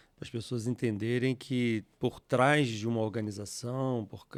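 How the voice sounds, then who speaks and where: This man has a plain, everyday voice at a medium pitch, with fairly even intonation on a very clean recording with a silent background. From Rio de Janeiro state, Brazil (Teresópolis). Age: 60s. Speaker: software company founder. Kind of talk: interview.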